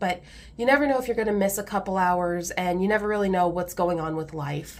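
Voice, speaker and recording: Speaking at a fairly quick pace with an American accent, a woman uses a medium pitch and ordinary pitch variation. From US Midwest, Indiana. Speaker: budgeting vlogger. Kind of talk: casual tutorial. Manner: chatty.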